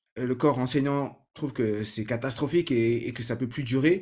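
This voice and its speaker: A man talks at a medium pitch. His pitch variation is ordinary, on a very clean recording with a silent background. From Paris suburbs, Saint-Ouen (Seine-Saint-Denis). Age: 30s. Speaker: learning-techniques trainer and podcaster. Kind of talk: personal story monologue. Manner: many hesitations and repetitions.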